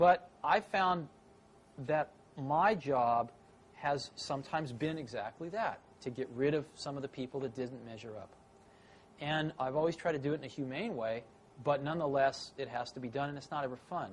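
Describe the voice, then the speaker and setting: In an unremarkable speaking voice with an American accent, a man speaks at a fairly high pitch with ordinary pitch variation and big swings in loudness. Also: moderate pace. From San Francisco Bay Area, USA. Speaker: tech entrepreneur. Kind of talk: interview answer.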